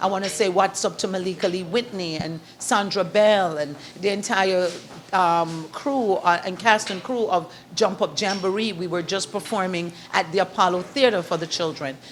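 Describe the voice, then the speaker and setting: Against noticeable background noise, a woman with a Jamaican accent speaks at a medium pitch and moderate pace, with ordinary pitch variation. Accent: Jamaican lilt, kept. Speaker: author and event host. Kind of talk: interview. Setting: in a shop. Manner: animated.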